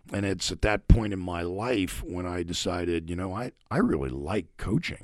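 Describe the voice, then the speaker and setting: A man with an American accent speaks in a very deep, low pitch with ordinary pitch variation. His pace is moderate, and the recording is very clean with a silent background. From Pittsburgh, Pennsylvania. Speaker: hockey coach. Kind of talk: interview. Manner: animated.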